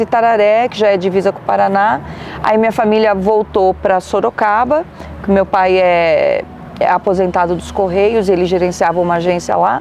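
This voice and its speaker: Noticeable background noise beneath a woman's medium-pitched speech, moderate in pace and fairly even in intonation. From Brazil, São Paulo state (Carapicuíba, interior). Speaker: radio announcer. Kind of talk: interview.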